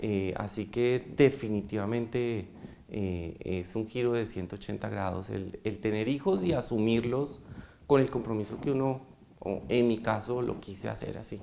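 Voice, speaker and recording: Over light background noise, a man talks at a fairly slow pace with a fairly low pitch, a dark, mellow tone and ordinary pitch variation. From Bogotá, Colombia. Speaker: foundation president, economist; interview guest. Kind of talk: interview. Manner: hesitant, many fillers. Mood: warm, reflective. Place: studio. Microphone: lapel.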